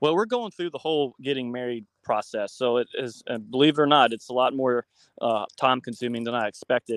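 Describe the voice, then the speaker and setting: With an unremarkable speaking voice, a man talks at a fairly quick pace and a medium pitch with ordinary pitch variation. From West Virginia. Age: 30s. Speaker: author and bus conversion builder. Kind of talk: interview.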